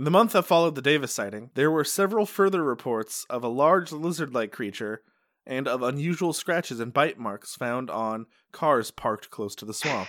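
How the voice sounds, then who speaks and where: On a very clean recording with a silent background, a man with an American accent and a plain, everyday voice talks at a medium pitch and a fairly quick pace with lively intonation. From Upstate New York, Utica. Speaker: podcast host. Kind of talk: casual chat.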